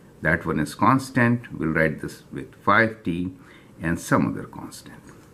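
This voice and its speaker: Very deep and low in pitch yet bright and sharp in tone, a man speaks at a fairly slow pace with vocal fry, very wide pitch swings, and big swings in loudness. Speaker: math teacher. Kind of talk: tutorial.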